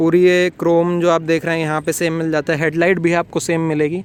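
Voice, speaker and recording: The man's voice sits high and stays monotone and flat. He keeps a moderate pace. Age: 20s. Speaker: car reviewer. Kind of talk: product review. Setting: in a car. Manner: casual.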